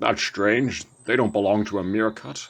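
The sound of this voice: Fairly even intonation marks an unforced reading voice.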